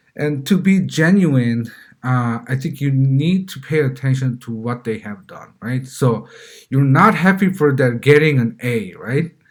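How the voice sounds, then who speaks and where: Recorded very cleanly against a silent background, a man of medium pitch speaks with a Korean accent at a fairly slow pace, somewhat breathy and with lively intonation. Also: big swings in loudness. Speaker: parenting vlogger. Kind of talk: casual monologue. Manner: halting, many fillers and repeats.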